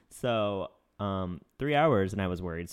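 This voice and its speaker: A man with an American accent. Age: 30s. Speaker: podcast co-host. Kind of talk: casual chat. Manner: fast, frantic.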